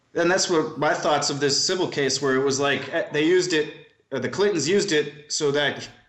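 There is audible room echo as a man speaks at a fairly high pitch. His pace is moderate and his intonation fairly even. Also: very even loudness. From US Midwest, Milwaukee, Wisconsin. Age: 30s. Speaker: private investigator. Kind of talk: casual interview.

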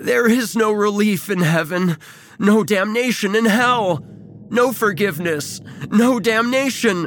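Putting on a character voice, a man speaks high-pitched at a fairly slow pace. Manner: agonized, crying out.

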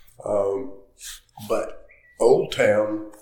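Speaking with an American accent, a man's voice carries audible room echo. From North Carolina. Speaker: golf course architect. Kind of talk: interview. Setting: on location at a golf course.

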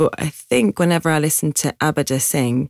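The sound of this woman with a Geordie accent is dry and close, with no echo. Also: very clean recording, silent background. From Newcastle, north-east England. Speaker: singer-songwriter. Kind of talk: casual interview chat.

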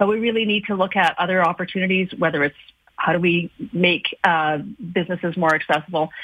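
A woman with an ordinary speaking voice at a fairly quick pace, fairly low in pitch, with fairly even intonation and very even loudness. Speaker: chamber of commerce chief executive. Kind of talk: radio interview.

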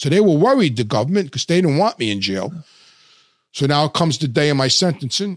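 In a New York accent, a man speaks at a fairly quick pace. His pitch is fairly high and swings very widely. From Brooklyn, New York. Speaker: former mobster. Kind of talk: interview storytelling. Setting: studio.

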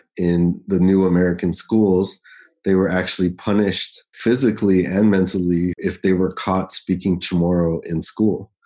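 Against a quiet background, a man with a very deep, low pitch and a dark, mellow tone speaks at a fairly slow pace. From Guam. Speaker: poet and university professor. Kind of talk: interview conversation.

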